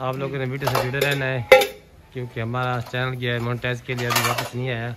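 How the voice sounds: Faint background noise sits behind a man talking fast at medium pitch. His tone is fairly bright, his intonation monotone and flat.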